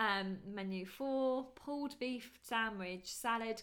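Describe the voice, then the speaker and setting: A woman with a British accent speaks at a fairly high pitch with ordinary pitch variation. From UK. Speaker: podcast co-host, wedding photographer. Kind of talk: casual chat. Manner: fast.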